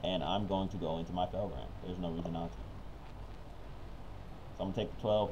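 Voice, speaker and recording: A man's very deep, low voice with vocal fry, at a fairly quick pace. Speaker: card game commentator. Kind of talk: live gameplay commentary. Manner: casual, upbeat.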